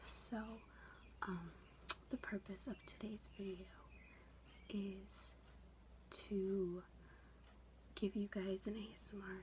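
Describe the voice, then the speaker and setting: This soft-spoken woman talks in a whisper. Each word comes very slowly. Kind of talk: ASMR makeup session, soft-spoken tutorial to camera. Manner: soft-spoken, whispery.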